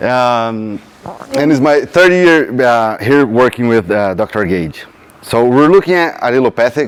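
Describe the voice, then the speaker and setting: Over noticeable background noise, a man with a strong Brazilian accent talks at a fairly slow pace, his medium-pitched voice full of lively intonation. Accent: thick Brazilian Portuguese. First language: Portuguese. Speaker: PhD student researcher. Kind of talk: field day presentation.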